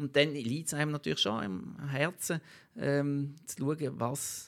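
A man talks with a Basel accent and lively intonation. The recording is very clean, with a silent background. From Basel-Landschaft, Switzerland. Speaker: local politician and lobbyist. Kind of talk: interview.

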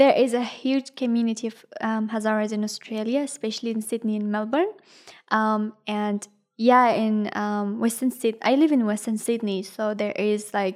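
On a very clean recording with a silent background, a woman with an Afghan accent speaks at a moderate pace and fairly high pitch with fairly even intonation. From Afghanistan. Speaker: university student and refugee. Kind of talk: personal testimony interview. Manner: hesitant, many filler ums.

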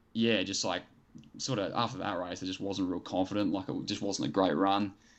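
With an Australian accent, a man speaks at a fairly low pitch. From New South Wales south coast, Australia. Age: 20s. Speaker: middle-distance runner. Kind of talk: interview.

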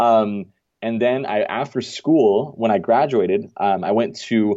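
A man's voice, fairly low in pitch, has a dark, mellow tone and ordinary pitch variation. The background is quiet. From Denmark. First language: Danish. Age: 20s. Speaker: marketing agency founder. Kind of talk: interview. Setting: remote call.

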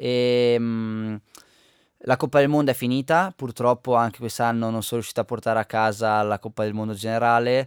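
A man speaks at a moderate pace with fairly even intonation and medium pitch, in a plain, everyday voice. The sound is dry and close with no echo, on a very clean recording with a silent background. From Val di Fiemme, Trentino, northern Italy. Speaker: Paralympic alpine skier. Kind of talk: radio interview. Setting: radio studio.

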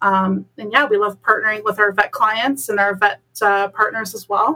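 Speaking with a Canadian accent, a woman uses a medium pitch and a bright, sharp tone. Her pace is fairly quick. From Ontario, Canada (Bolton). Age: 20s. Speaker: animal rehabilitation therapist. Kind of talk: podcast interview.

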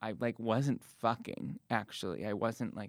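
A plain, everyday voice from a man with an American accent, fairly low pitch, ordinary pitch variation and a moderate pace, on a very clean recording with a silent background. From US Midwest (Cleveland, Ohio). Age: 20s. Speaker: actor and playwright. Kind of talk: casual interview; live storytelling.

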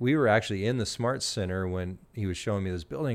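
On a very clean recording with a silent background, a man with an American accent talks at a fairly quick pace in a plain, everyday voice. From US Midwest, small-town Illinois. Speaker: social media influencer and university staff. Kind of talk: interview.

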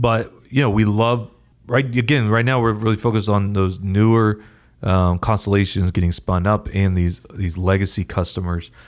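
At a moderate pace and very even loudness, a man with an American accent speaks at a fairly low pitch. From US West Coast, Oregon. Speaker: company co-founder and CEO. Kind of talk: casual interview. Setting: video call from home office. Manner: animated, emotional.

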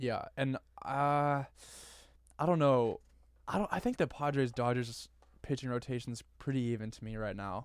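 With long, frequent pauses, a man speaks at a medium pitch and moderate pace with ordinary pitch variation in a very clean recording with a silent background. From Northern California. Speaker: sports podcast co-host. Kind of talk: casual chat.

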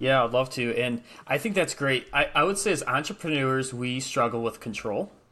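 An American accent shapes this man's speech. His tone is bright and sharp, with lively intonation. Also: medium pitch for a man, moderate pace. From Michigan, US Midwest. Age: 30s. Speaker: real estate investor. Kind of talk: casual chat.

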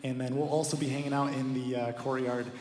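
This man talks at a very fast pace and medium pitch, with noticeable background noise behind him. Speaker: missionary. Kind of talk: church announcement. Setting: church.

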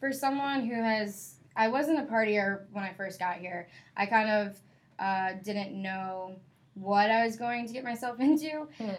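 A woman talks at a fairly slow pace in an ordinary speaking voice. Her pitch is fairly high, with ordinary variation. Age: 20s. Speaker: student newspaper editor. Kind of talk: casual chat.

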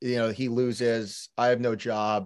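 Speaking very slowly with an American accent, a man is heard on a very clean recording with a silent background. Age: 30s. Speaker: rowing coach. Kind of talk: casual chat.

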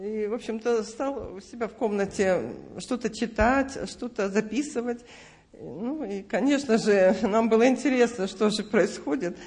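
A woman's fairly high, somewhat breathy voice at a fairly slow pace. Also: ordinary pitch variation. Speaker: church member giving testimony. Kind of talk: testimony. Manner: halting, hesitant.

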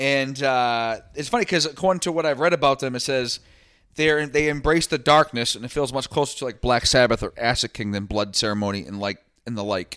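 Bright, sharp tone from a man with an American accent, medium pitch and ordinary pitch variation, fairly quick pace, very clean recording with a silent background. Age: 30s. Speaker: podcast host. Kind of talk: casual chat.

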